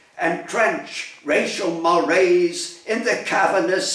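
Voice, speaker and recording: A man speaks at a very slow pace in a high pitch. Audible room echo surrounds his voice. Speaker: poet. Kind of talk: poetry reading. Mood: solemn, commemorative. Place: home room. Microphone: phone near.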